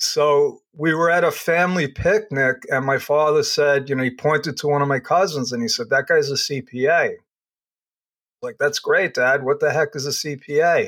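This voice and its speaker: A man with a New York accent talks at a moderate pace, his pitch fairly high and his intonation fairly even. The recording is very clean, with a silent background. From New York, Long Island. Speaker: accountant and business consultant. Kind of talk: interview.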